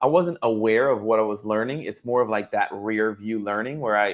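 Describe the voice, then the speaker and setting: A man with an American accent and an unremarkable speaking voice talks at a fairly quick pace, medium in pitch with ordinary pitch variation, over a quiet background. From Boston area. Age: 40s. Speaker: former baseball player turned wealth advisor. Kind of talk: interview. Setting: live stream.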